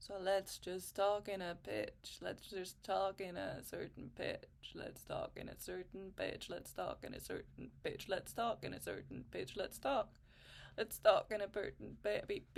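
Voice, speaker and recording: In a put-on character voice, a female-sounding speaker sounds creaky and keeps a moderate pace. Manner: demonstrating a speaking technique.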